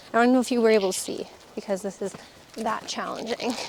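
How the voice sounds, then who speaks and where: Noticeable background noise runs beneath a woman speaking at a fairly high pitch. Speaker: homesteader and vlogger. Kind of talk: casual vlog talk. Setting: outdoors on a farm. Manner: casual, rambling.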